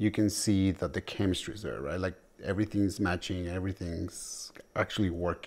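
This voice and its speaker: A man with a very deep, low pitch, fairly even intonation and a fairly quick pace. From Mexico. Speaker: salsa teacher. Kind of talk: documentary interview. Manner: hesitant, with fillers.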